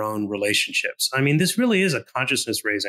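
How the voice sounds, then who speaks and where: A man talks at a fairly quick pace in a bright, sharp tone. The sound is dry and close with no echo. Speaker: co-founder of a writing project, guest. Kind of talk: interview. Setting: podcast interview. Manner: slight stammer.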